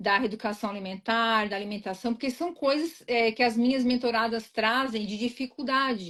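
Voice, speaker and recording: Here is a woman with an unremarkable speaking voice, fairly high in pitch with ordinary pitch variation. The background is quiet. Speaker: weight-loss mentor. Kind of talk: live interview.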